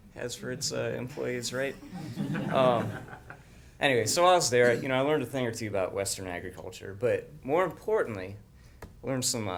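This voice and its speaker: A man's normal speaking voice at a medium pitch, with ordinary pitch variation. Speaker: agriculture specialist. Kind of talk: casual humorous talk to audience.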